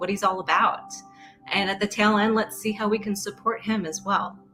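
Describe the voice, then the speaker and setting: An upbeat, medium-pitched female voice with music in the background. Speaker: podcast interviewer. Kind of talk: casual interview talk.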